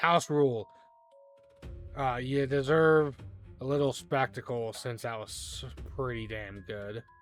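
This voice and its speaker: Using a put-on character voice at a medium pitch, a man talks at a fairly slow pace with long, frequent pauses. Faint music plays in the background. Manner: grudgingly generous, showman-like.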